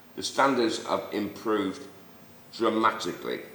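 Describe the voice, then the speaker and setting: With a Mancunian accent, a man talks at a fairly slow pace amid noticeable background noise and audible room echo. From Manchester, northern England. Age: 60s. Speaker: Sunday league football figure, host's father. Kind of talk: casual debate.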